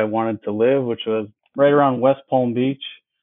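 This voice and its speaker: Here a man speaks with an American accent. He keeps a moderate pace. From Wisconsin. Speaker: dentist and practice owner. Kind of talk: casual interview.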